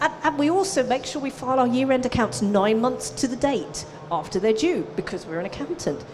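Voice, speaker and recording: A woman speaks at a moderate pace in a fairly high pitch with an animated tone. Noticeable background noise and audible room echo are present. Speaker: business coach for accountants. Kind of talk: conference presentation. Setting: stage with audience.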